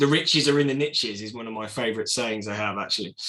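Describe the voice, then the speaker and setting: A man's bright, sharp voice with an English accent. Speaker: entrepreneur. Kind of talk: presentation. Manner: fast.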